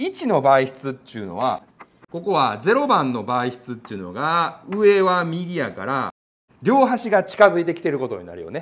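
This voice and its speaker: Moving at a moderate pace, a man speaks with very wide pitch swings and big swings in loudness. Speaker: physics teacher. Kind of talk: lecture. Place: classroom.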